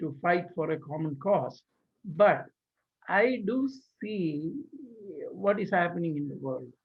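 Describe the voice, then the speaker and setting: The speaker has an Indian accent and lively intonation. The pace is very slow, with long, frequent pauses. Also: man. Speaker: engineer and community leader. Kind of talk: interview. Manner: halting.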